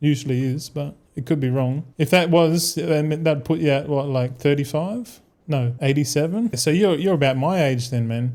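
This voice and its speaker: A dark, mellow voice with an Australian accent and ordinary pitch variation at a moderate pace, in a very clean recording with a silent background. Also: man, fairly high pitch for a man. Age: 30s. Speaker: gaming streamer. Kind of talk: casual chat.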